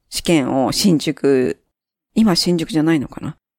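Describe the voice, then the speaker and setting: Her pitch is very deep and low for a woman. This woman speaks with lively intonation. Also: dry, close sound with no echo, very clean recording, silent background. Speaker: podcast guest, former student group leader. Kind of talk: casual chat.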